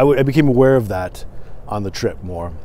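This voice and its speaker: A man with an American accent at medium pitch and a moderate pace, in a dry sound with no echo. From Michigan, partly US West Coast (Portland). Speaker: podcast host. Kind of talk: solo vlog monologue. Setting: recorded on camera. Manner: hesitant, many fillers. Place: open country. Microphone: phone near.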